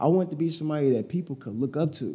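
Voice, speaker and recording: Talking at a very fast pace, a man with an American accent has a fairly high pitch, a dark, mellow tone and a somewhat breathy voice. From Chicago, US. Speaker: digital marketing entrepreneur. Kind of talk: casual interview conversation.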